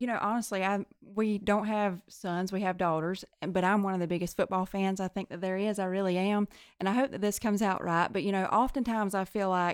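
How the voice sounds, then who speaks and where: A woman with a Southern US accent talks at a fairly quick pace with fairly even intonation. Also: very clean recording, silent background. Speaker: nurse practitioner and podcast co-host. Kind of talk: casual interview.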